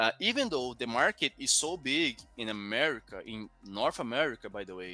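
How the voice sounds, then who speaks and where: A man speaks with a Portuguese accent. Music plays in the background. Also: dry, close sound with no echo. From Brazil. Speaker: crypto news podcast presenter. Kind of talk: news commentary podcast. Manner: halting, many restarts and fillers.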